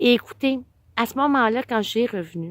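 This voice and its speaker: A woman at a fairly quick pace, in a very clean recording with a silent background and a dry, close sound with no echo. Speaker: vlogger. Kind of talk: casual personal storytelling vlog.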